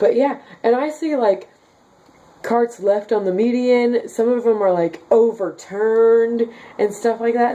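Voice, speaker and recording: A woman talks with a fairly high voice. Noticeable background noise runs behind her. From Kansas, US Midwest. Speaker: daily vlogger. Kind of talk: casual vlog reading comments. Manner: chatty, many fillers.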